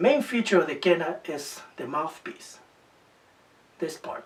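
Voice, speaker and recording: With a Spanish accent and very wide pitch swings, a man speaks over noticeable background noise. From Peru. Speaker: musician. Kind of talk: documentary interview.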